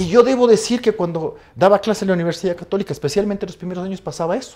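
There's a quiet background behind this man speaking. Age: 50s. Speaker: law professor. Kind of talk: casual interview. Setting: studio. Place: studio. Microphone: lapel.

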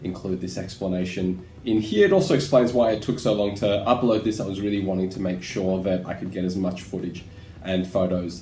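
A man speaks at a very deep, low pitch with a dark, mellow tone and a somewhat breathy quality, using fairly even intonation at a moderate pace. There is audible room echo and light background noise. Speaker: travel vlogger. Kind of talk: casual vlog chat. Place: home room. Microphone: webcam.

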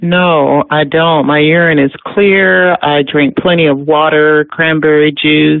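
A fairly slow pace with hardly any pauses, amid noticeable background noise. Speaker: caller. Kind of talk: phone question to host. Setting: phone call.

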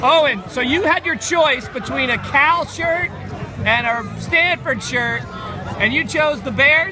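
Clear music plays in the background of a dry recording with no echo while the speaker talks at a fairly slow pace. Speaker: traveling daily vlogger. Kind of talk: casual vlog chat. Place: street. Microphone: phone near.

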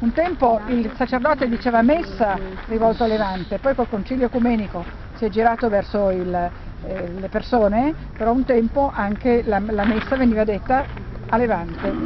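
A woman's fairly high voice at a moderate pace, with ordinary pitch variation and a dry sound with no echo, over noticeable background noise. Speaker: tour guide. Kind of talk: guided tour commentary. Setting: outdoors. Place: open country. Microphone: phone near.

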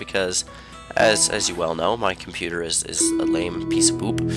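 With music playing in the background, a man talks at a fairly quick pace. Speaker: gaming channel host. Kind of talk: gameplay commentary. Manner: casual, rambling.

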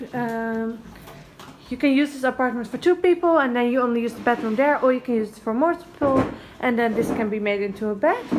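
Over light background noise, a woman with a Dutch accent talks at a high pitch with lively intonation. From Netherlands. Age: 20s. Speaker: vlogger. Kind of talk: casual vlog. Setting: hotel room. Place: home room. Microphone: phone near.

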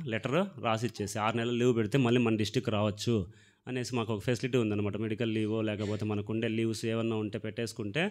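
A man's medium-pitched, monotone voice with flat intonation over a quiet background. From Andhra Pradesh, Rayalaseema (Palamaner/Madanapalle); Andhra Pradesh, India. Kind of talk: testimony. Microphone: handheld.

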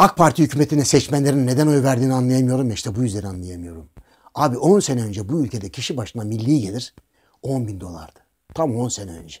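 A man's somewhat breathy voice at a very fast pace, lively intonation and big swings in loudness over a quiet background. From Thrace, Turkey; Turkey. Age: old. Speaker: political commentator. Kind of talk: casual monologue with anecdotes. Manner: animated storytelling, frequent laughter. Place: home room.

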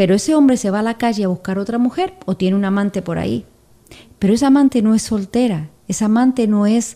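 A woman with a dark, mellow tone at a fairly quick pace, against a quiet background. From Argentina. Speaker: podcast co-presenter; podcast presenter. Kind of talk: casual chat. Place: studio. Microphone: studio mic.

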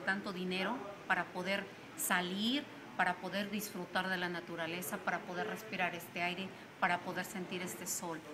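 Noticeable noise sits behind a woman who talks at a fairly slow pace. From Mexico, San Luis Potosí. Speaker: touring cyclist. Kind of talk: interview; interview answer. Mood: calm, reflective. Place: street. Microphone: phone near.

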